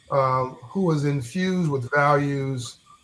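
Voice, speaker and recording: A somewhat breathy man with an American accent talks in a fairly high pitch with ordinary pitch variation. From Los Angeles. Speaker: podcast host. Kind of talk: podcast interview. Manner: animated.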